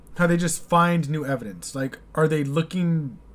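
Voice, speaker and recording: This man speaks with an American accent at a moderate pace. His pitch is fairly high. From United States. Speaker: YouTube reaction host. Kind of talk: casual reaction commentary. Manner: hesitant, filler-heavy. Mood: thoughtful, puzzled. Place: home room. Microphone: studio mic.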